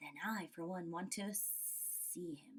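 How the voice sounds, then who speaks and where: Using a put-on character voice at a medium pitch, a woman speaks at a very slow pace. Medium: read story.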